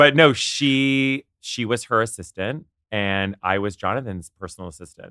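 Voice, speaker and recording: Bright and sharp in tone, the speaker moves at a moderate pace with ordinary pitch variation and big swings in loudness on a very clean recording with a silent background. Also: man, medium pitch for a man. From Canada, Ottawa. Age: 30s. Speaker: publicist and celebrity friend. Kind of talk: casual chat.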